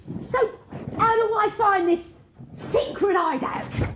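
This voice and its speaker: Someone uses a put-on character voice pitched extremely high. The delivery moves at a fairly slow pace. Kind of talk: pantomime stage performance. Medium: stage.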